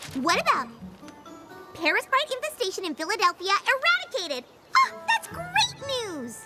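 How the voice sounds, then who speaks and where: Over loud background music, a female-sounding cartoonish character voice, extremely high and bubbly and playful, moves at a moderate pace with very wide pitch swings and long, frequent pauses. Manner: bubbly, playful, fast.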